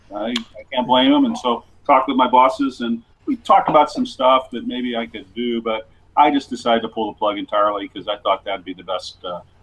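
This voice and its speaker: Noticeable background noise behind a fairly quick pace from a man with an American accent. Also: big swings in loudness. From US Midwest, small-town western Ohio. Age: 60s. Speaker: sports columnist. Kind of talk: interview. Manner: halting, many fillers and repeats.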